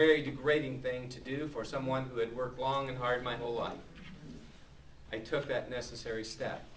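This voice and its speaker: Monotone, flat intonation at a fairly quick pace, with audible room echo. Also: man, medium pitch for a man. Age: 60s. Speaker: citizen giving testimony. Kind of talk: public testimony. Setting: public speak-out event.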